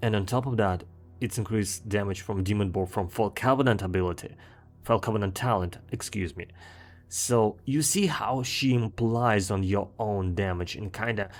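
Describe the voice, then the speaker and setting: This man talks at a moderate pace in a fairly low pitch with a strong Russian accent. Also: ordinary pitch variation. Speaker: gaming video creator. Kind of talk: commentary monologue. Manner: frequent fillers and repetitions.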